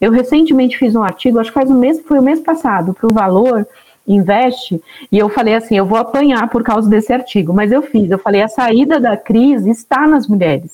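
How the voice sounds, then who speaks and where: A woman speaks at a fairly quick pace with a fairly high pitch and lively intonation. Her tone is dark and mellow, and her loudness stays very even. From Northeast Brazil (Alagoas interior). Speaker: founder of a women entrepreneurs network. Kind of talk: podcast interview.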